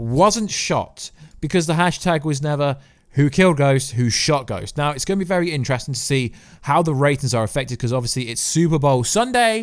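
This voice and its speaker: In an English accent, a man speaks at a fairly quick pace with a fairly high pitch and lively intonation. His tone is animated, and the recording is very clean with a silent background. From England. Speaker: YouTuber, TV commentator. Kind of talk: casual vlog commentary.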